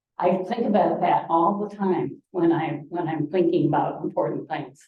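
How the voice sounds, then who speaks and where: Fairly low-pitched and somewhat breathy, a woman talks at a fairly slow pace with ordinary pitch variation. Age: 80s+. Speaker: Rotary club speaker. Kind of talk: presentation to a club meeting. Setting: meeting room with microphone and Zoom audience. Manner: casual, rambling with fillers.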